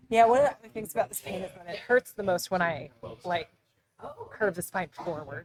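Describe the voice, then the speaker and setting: Lively in intonation, a woman with a plain, everyday voice and medium pitch speaks at a moderate pace, her loudness swinging widely. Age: young. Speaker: massage client. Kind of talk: casual chat.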